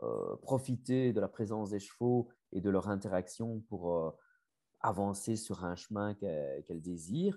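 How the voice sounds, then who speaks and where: A man with a slight Belgian accent speaks at a moderate pace, his fairly low pitch carrying a dark, mellow tone. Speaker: family constellation facilitator and coach. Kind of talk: interview. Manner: hesitant, many fillers and repetitions.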